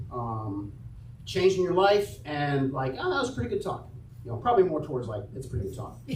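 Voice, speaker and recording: A man talks loudly at a fairly quick pace, his fairly high pitch swinging very widely. Room echo is audible, and there is noticeable background noise. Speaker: church announcements leader. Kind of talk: church announcements. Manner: casual. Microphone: microphone having issues.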